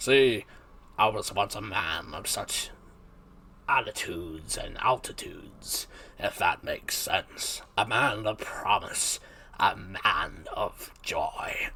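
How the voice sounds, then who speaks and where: A man's strained, put-on character voice at a very slow pace. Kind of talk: grand, old-fashioned. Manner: theatrical, sonorous.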